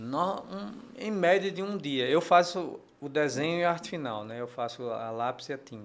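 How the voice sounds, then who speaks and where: This voice moves at a moderate pace, with big shifts in loudness and very wide pitch swings. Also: man, fairly high pitch for a man. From Paraíba, northeastern Brazil. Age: 60s. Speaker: comic book artist. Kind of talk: interview. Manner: halting, many repetitions and fillers.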